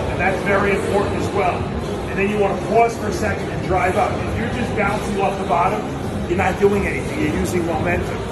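Words pour out of a man at a very fast pace against loud background noise. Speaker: fitness coach. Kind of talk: tutorial. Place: gym. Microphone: phone near.

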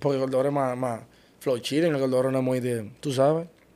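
This man talks at a very fast pace. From Dominican Republic, Santo Domingo Este. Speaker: car rental business partner. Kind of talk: interview. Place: studio. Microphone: studio mic.

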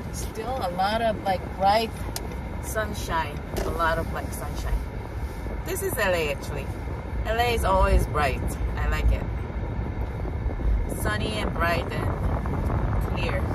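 A woman speaks at a very slow pace with long, frequent pauses. The sound is dry with no echo, over loud background noise. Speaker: vlogger. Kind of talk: casual vlog chat. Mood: cheerful, admiring. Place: car. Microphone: phone near.

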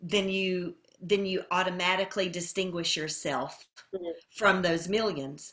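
A woman speaks at a medium pitch and a fairly slow pace in an ordinary speaking voice. The background is quiet. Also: fairly even intonation. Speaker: classical voice teacher; lyric soprano. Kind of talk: interview answer. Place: home room.

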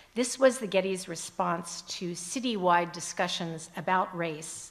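With a plain, everyday voice, a woman of fairly low pitch speaks at a fairly slow pace with ordinary pitch variation. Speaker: foundation executive. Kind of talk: conference presentation. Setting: stage with audience.

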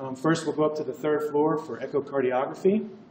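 Noticeable background noise and audible room echo surround this recording. A man with a fairly high pitch speaks at a very fast pace. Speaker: cardiovascular radiologist. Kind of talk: lecture.

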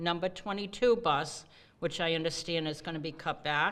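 A woman with a Rhode Island accent speaks with ordinary pitch variation on a very clean recording with a silent background. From Rhode Island, Cranston. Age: 70s. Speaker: bus rider speaking at public hearing. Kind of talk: public hearing testimony.

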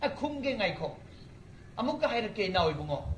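A man's animated voice with light background noise and audible room echo. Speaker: preacher. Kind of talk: sermon. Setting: church. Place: stage. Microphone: camera far.

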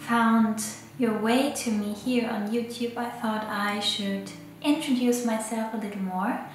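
A woman's fairly high pitch at a fairly slow pace, with a non-native accent, fairly even intonation, audible room echo, and clear music in the background. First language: not English. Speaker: photographer and illustrator. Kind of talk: casual talk to camera. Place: home room.

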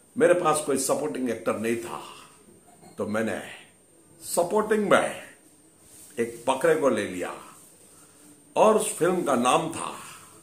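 A man speaks at a very slow pace, with long, frequent pauses. Room echo is audible. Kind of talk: comic monologue in a mock interview. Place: home room. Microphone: phone near.

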